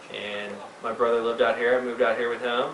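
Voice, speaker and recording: Someone with an American accent talks at a moderate pace. Audible room echo and noticeable background noise fill the recording. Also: man. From Texas, Missouri City. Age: 30s. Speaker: ski shop worker. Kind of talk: casual chat.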